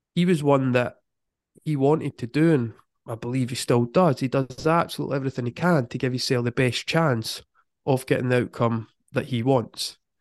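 A man with a Scottish accent, medium-pitched and fairly quick, with fairly even intonation, in a dry, close sound with no echo and a quiet background. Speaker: football mindset coach. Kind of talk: casual interview.

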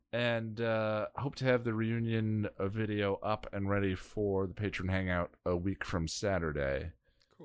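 The recording is very clean, with a silent background. It carries an ordinary speaking voice at a fairly slow pace, with ordinary pitch variation. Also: man, fairly low pitch for a man. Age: 40s. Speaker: podcast co-host. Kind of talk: casual chat.

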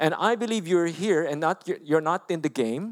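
In a very clean recording with a silent background and a dry, close sound with no echo, a man with a Filipino accent talks at a moderate pace in a high pitch with lively intonation. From Philippines. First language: Filipino language. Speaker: pastor. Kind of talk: sermon. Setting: church.

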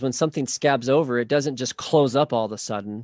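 An unremarkable speaking voice from a man with an American accent, medium in pitch with ordinary pitch variation, recorded in a dry, close sound with no echo. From Oklahoma. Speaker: marriage and family therapist. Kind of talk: interview.

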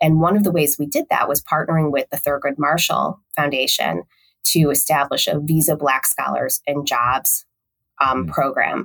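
The sound is dry and close with no echo as a woman speaks at a moderate pace in a Midwestern US accent. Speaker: communications executive. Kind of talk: casual interview.

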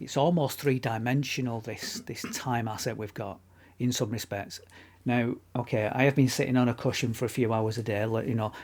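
In a northern English accent, the speaker keeps a moderate pace on a very clean recording with a silent background. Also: man. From northern England. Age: middle-aged. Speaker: podcast co-host. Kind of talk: casual chat. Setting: home studio.

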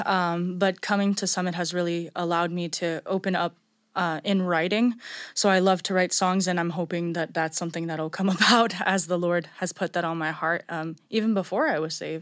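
Against a silent background in a very clean recording, a woman talks at a fairly quick pace and medium pitch in a plain, everyday voice, her intonation fairly even. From Montreal, Canada. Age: 20s. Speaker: Bible school student. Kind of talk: testimony.

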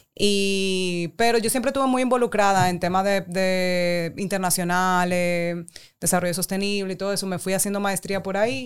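An ordinary speaking voice from a woman at medium pitch and moderate pace, with ordinary pitch variation, in a very clean recording with a silent background. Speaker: guest with background in international development and politics. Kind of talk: casual chat.

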